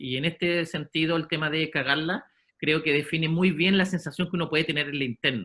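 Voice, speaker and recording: A man with a Chilean accent speaks at a fairly high pitch, his tone bright and sharp and his pitch variation ordinary. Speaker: sports psychologist. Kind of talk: lecture. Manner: halting.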